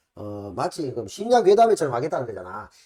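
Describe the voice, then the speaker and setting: A man speaks very fast in a dark, mellow tone, with vocal fry. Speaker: political commentary YouTuber. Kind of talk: casual chat.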